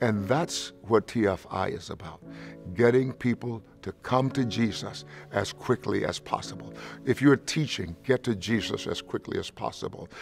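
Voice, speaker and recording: A man talks at a middling pace while clear music is heard behind him. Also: ordinary pitch variation. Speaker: pastor. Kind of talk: interview answer. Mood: warm, earnest. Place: studio. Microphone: lapel.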